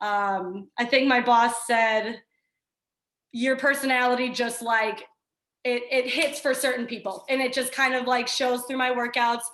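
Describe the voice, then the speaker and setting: A woman's high-pitched, bright and sharp voice at a moderate pace. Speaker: fitness trainer. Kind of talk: casual chat. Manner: loud; energetic.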